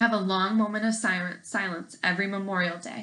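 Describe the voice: The clip is plain reading aloud with fairly even intonation.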